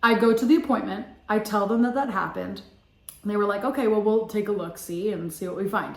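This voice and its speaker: A woman talks at a very fast pace with a fairly high pitch and ordinary pitch variation, amid noticeable background noise and audible room echo. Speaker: vlogger and former singing student. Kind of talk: casual storytelling vlog. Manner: casual, filler-heavy.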